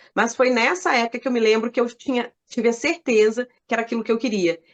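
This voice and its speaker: Here a woman speaks at a very fast pace. Her pitch variation is ordinary. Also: fairly high pitch for a woman, dry, close sound with no echo. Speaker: journalist and radio announcer. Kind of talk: interview answer.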